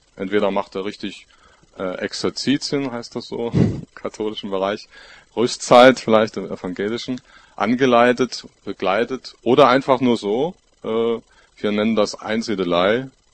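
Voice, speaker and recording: A man talks at a fairly slow pace with long, frequent pauses. His pitch is medium and his intonation fairly even. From Görlitz, Saxony (eastern Germany). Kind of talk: panel discussion.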